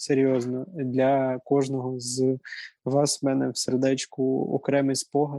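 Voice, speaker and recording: Very slowly, a man talks in a dark, mellow tone with monotone, flat intonation. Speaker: student government head, guest. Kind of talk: casual interview. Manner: hesitant, many fillers. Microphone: sound problems.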